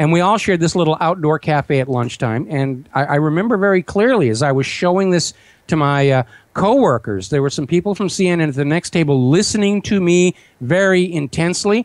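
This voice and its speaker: A man with a high pitch and lively intonation talks at a fairly quick pace in a dry, close recording with no echo. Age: 60s. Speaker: talk radio host and website owner, former visual effects producer. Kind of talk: interview.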